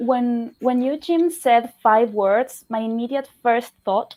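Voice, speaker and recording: Speaking very slowly in a Spanish accent, a woman uses a high pitch with ordinary variation on a very clean recording with a silent background. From Argentina. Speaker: fantasy content creator. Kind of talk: casual panel chat on a charity livestream.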